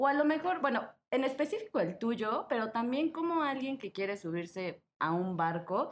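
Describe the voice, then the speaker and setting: Here a woman speaks at a high pitch. Her pitch swings very widely. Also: moderate pace. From Mexico. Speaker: podcast host. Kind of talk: casual chat. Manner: animated.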